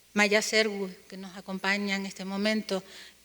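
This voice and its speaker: A woman speaks at a medium pitch with a bright, sharp tone and a Canarian accent. Her delivery is fairly slow, with monotone, flat intonation. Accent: Canarian Spanish, noticeable. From Canary Islands, Spain. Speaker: university linguist, conference panelist. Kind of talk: academic conference presentation. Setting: conference panel with audience.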